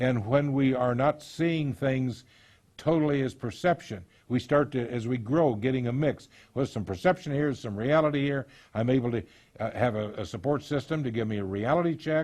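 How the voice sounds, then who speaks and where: A man with a normal speaking voice talks at a fairly quick pace, his pitch medium with ordinary variation. The background is quiet. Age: 60s. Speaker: counselor on abuse recovery. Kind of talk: lecture.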